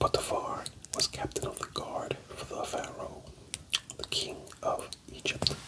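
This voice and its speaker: A whisper moves at a fairly slow pace while noticeable background noise sits behind it. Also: man. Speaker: Bible reader / ASMR channel host. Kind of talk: soft-spoken Bible reading for sleep. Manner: whispered, soft-spoken.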